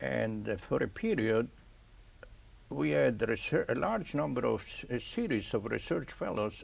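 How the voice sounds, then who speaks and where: A man in an Italian accent at a fairly slow pace. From Italy. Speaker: pathologist. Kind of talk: interview. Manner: halting.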